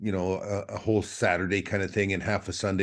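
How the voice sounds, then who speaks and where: With an Upper Midwest accent, a man speaks at a very fast pace and fairly low pitch against a quiet background. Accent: Upper Midwest American. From Minnesota. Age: 60s. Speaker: trapper. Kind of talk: casual chat. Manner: halting, many repetitions.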